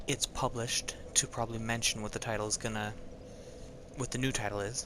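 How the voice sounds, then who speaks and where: Over noticeable background noise, the speaker talks at a fairly quick pace in a flat, monotone delivery. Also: man, medium pitch for a man. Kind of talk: casual talk to camera, intro to a reading. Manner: hesitant, stuttering, many filler words.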